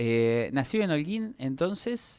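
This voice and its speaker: With lively intonation and an Argentine accent, a man speaks very slowly on a very clean recording with a silent background. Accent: Rioplatense Argentine Spanish. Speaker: radio interviewer. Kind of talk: interview.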